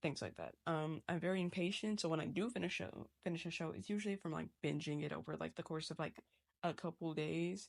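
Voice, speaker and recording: A woman speaks very fast with vocal fry and a fairly low pitch. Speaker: digital artist. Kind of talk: casual chat. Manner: animated.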